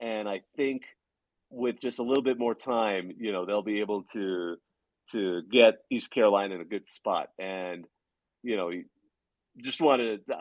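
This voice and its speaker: Using a put-on character voice, a man mumbles at a moderate pace and a fairly low pitch, with long, frequent pauses. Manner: mumbling.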